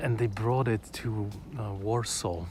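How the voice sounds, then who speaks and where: Amid audible room echo, a man with a Polish accent speaks very slowly. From Poland. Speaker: vlogger. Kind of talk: casual live-stream chat. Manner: hesitant, many fillers and repetitions.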